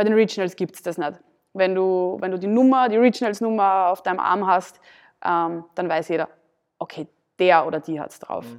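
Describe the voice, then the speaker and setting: A woman talks at a fairly quick pace at a medium pitch, with ordinary pitch variation and big swings in loudness. There are long, frequent pauses, and the background is quiet. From Austria, southern Burgenland. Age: 20s. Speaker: CrossFit athlete and gym owner. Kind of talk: casual interview.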